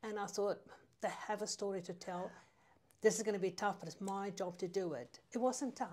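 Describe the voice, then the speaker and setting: Speech comes with a South African accent. The pitch varies in an ordinary way at a moderate pace. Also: woman, medium pitch for a woman. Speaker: newspaper editor. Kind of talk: casual chat.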